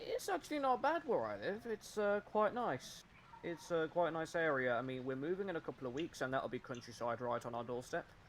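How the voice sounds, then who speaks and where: A man with a British accent speaks at a fairly quick pace in a fairly high voice. His pitch swings very widely. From West Midlands, England. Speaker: gamer, meme maker for a gaming community. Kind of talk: casual chat while gaming. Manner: halting, many fillers.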